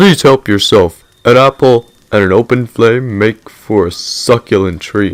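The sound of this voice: A man puts on a character voice, talking at a medium pitch and an even, moderate pace.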